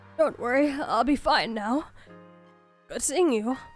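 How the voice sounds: A woman's raspy, put-on character voice at a fairly slow pace, with faint music in the background.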